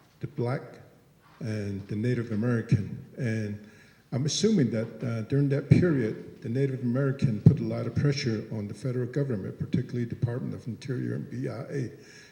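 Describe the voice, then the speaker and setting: With noticeable background noise behind him, a man speaks at a fairly quick pace and a medium pitch, showing ordinary pitch variation and big swings in loudness. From Navajo Nation, Big Mountain area. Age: 60s. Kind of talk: public comment at forum Q&A. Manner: halting, many fillers.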